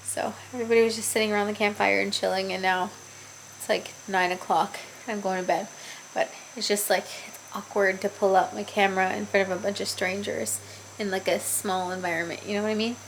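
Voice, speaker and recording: A woman at a fairly quick pace with long, frequent pauses, over noticeable background noise. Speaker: travel vlogger. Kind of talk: casual vlog narration. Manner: casual, chatty.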